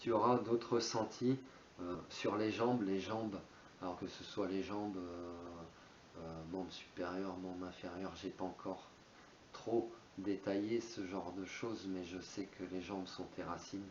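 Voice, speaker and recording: A man talks in a very deep, low voice at a fairly slow pace, his intonation fairly even and broken by long, frequent pauses. Audible room echo and noticeable background noise fill the recording. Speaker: spiritual YouTuber. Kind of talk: monologue on spirituality. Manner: hesitant, many fillers.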